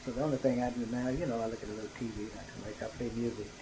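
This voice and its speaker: Noticeable background noise sits behind a man speaking very fast. His medium-pitched voice stays monotone and flat. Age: 70s. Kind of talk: interview answer.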